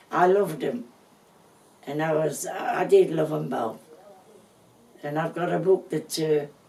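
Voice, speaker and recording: A woman speaks with a very deep, low pitch and ordinary pitch variation. She leaves long, frequent pauses amid noticeable background noise. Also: fairly slow pace. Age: 80s+. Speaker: family elder. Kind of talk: reminiscing interview. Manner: halting.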